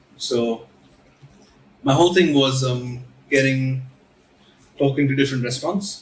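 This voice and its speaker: Noticeable background noise sits behind the recording. A man speaks at a medium pitch and a moderate pace. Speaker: student club president. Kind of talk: casual chat. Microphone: recorded without a mic.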